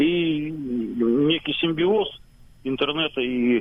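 This is a man speaking. His pitch is fairly high. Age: 40s. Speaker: radio amateur. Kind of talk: radio interview.

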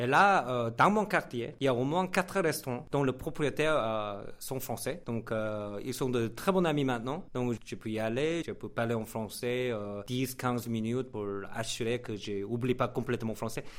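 A Korean accent at a fairly slow pace, with ordinary pitch variation. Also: man, medium pitch for a man. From South Korea. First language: Korean (speaking French). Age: young. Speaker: radio host and writer. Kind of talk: interview. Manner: halting.

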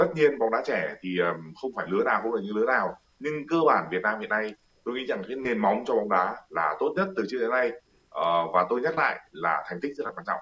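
Talking at a very fast pace, a man with a medium pitch makes very wide pitch swings. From northern Vietnam, Hanoi. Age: 40s. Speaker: football commentator. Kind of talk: interview. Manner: hesitant, many fillers.

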